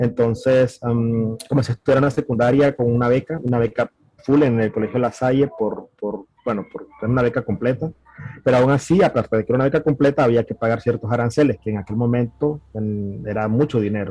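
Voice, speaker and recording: A man's medium-pitched voice keeps a fairly even intonation while moving along at a fairly quick pace. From Nicaragua, Managua. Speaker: software architect. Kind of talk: interview. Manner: halting.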